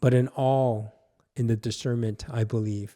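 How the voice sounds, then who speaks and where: A man's dark, mellow tone with a Korean accent, fairly slow pace, and a very clean recording over a silent background. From South Korea. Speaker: pastor. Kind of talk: personal testimony; devotional teaching talk.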